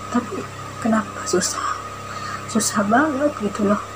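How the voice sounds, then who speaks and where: Over noticeable background noise, a woman with a fairly high pitch talks at a fairly slow pace. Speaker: vlogger. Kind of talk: personal testimony. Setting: self-recorded video. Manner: stiff; hesitant.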